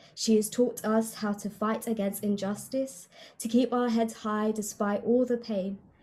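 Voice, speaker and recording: A woman speaks at a moderate pace in a fairly high, somewhat breathy voice. Her tone is dark and mellow, her intonation monotone and flat. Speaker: spoken word poet. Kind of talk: spoken introduction to a poem. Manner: earnest, passionate.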